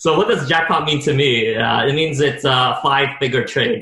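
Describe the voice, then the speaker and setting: Noticeable background noise fills the clip. A man speaks fairly quickly. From Montreal, Quebec. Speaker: stock trader. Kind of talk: personal story in interview.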